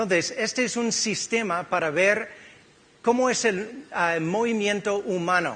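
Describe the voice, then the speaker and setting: At a fairly slow pace, a man with an American accent speaks in a high-pitched, bright, sharp tone with ordinary pitch variation, and room echo can be heard. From California, US. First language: English (speaking Spanish). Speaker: physiotherapist. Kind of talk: conference talk. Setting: stage with audience.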